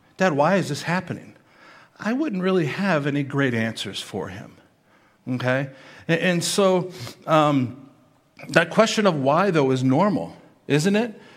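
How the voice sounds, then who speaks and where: A man speaks at a moderate pace with lively intonation. The room echo is audible. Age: 50s. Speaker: pastor. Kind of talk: sermon.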